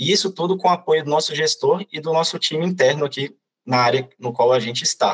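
The man's voice is somewhat breathy and fairly high in pitch, moving at a fairly quick pace in a dry, close sound with no echo. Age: 20s. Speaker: corporate trainee. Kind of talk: podcast interview.

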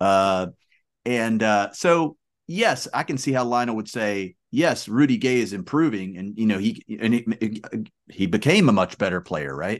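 Against a quiet background, a man with an ordinary speaking voice talks at a medium pitch and fairly slow pace with lively intonation. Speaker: co-host. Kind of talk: casual sports chat.

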